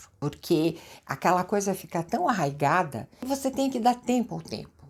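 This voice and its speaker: Her tone is animated as a woman with a medium pitch speaks with very wide pitch swings. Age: 70s. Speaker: lifestyle vlogger. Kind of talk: casual chat.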